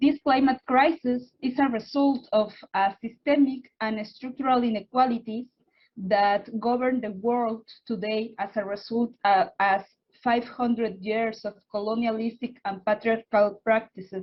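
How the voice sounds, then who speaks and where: In a Spanish accent, a woman talks at a fairly slow pace and a fairly high pitch. Her somewhat breathy voice keeps a fairly even intonation. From Oaxaca, Mexico. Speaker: environmental activist and researcher. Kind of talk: panel remarks. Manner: halting.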